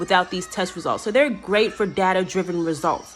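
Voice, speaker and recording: Music plays in the background as a woman talks at a fairly quick pace. Her pitch varies in an ordinary way. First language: not English. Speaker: teacher and graduate student. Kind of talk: class video presentation. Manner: fast; casual, conversational.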